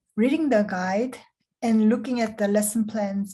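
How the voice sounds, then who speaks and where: A woman's fairly high, somewhat breathy voice with a dark, mellow tone, a Korean accent, fairly even intonation and a fairly slow pace. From South Korea. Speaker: program director. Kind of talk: scripted interview.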